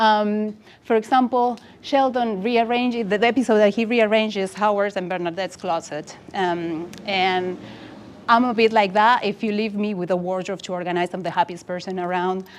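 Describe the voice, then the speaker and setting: At a moderate pace, a woman with an Argentine accent speaks at a medium pitch with fairly even intonation. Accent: Argentinian. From Argentina. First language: Spanish. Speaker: UX designer. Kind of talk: conference talk. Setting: meetup with audience.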